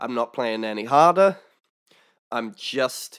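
Very unhurried male speech in hushed surroundings. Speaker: harmonica teacher. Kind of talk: tutorial. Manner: casual, explanatory. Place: home room. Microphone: studio mic.

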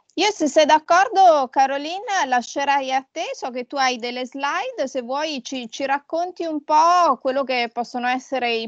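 The sound is dry with no echo as a woman speaks at a moderate pace. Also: quiet background. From Italy. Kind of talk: interview. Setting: video call. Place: home room. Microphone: video call.

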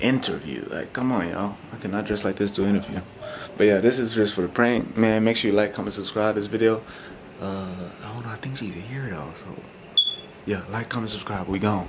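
A man's fairly quick, fairly even delivery at a fairly low pitch, with noticeable background noise. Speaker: prank vlogger. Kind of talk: casual vlog chat.

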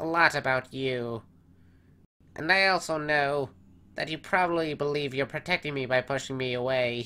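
Doing a put-on character voice, a man with a fairly high pitch speaks at a moderate pace with long, frequent pauses, in a very clean recording with a silent background. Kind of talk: comic dub character voice.

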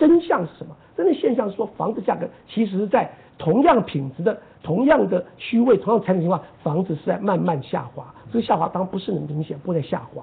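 The voice moves at a fairly quick pace with big swings in loudness. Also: man, high pitch for a man. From Taiwan. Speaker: professor of land economics. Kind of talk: interview. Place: studio.

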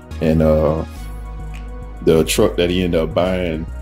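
Faint music in the background plays under a man's moderately paced speech. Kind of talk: casual vlog chat. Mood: relaxed. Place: street. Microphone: phone near.

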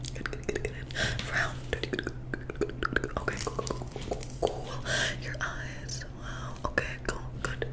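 Whispering, a woman is soft-spoken. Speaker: roleplay host. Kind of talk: soft-spoken personal-attention roleplay. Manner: soft close ASMR whisper, quick. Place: home room.

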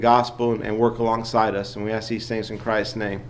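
The voice belongs to a man. He talks fairly quickly. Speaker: lay teacher. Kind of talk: Sunday school lesson. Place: church. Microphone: podium.

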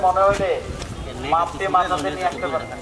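A man talks with a high pitch and little pitch movement. Clear background noise is present.

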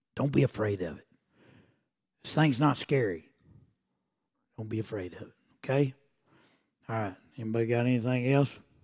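Pausing long and often, a man speaks at a medium pitch with ordinary pitch variation against a quiet background. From Oklahoma. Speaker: preacher. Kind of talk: sermon. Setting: church. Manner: animated. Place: church.

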